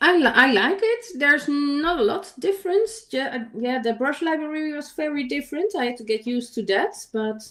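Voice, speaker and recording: High-pitched woman with a non-native accent, at a moderate pace, very wide pitch swings and hardly any pauses. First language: not English. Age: 50s. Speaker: digital artist. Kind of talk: casual chat. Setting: livestream. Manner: halting.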